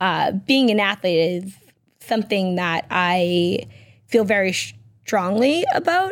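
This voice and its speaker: At a fairly slow pace, a woman with an American accent speaks in an unremarkable speaking voice at medium pitch, with ordinary pitch variation. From Massachusetts, Peabody. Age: 30s. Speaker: entrepreneur and former football player. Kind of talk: casual interview. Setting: radio studio.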